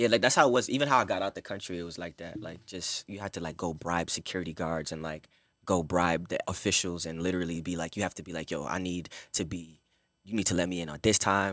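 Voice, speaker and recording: This man has a New York accent and talks very fast. His voice is very deep, and his loudness swings widely. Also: ordinary pitch variation. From Brooklyn, New York. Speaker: singer and model. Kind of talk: casual chat. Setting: studio.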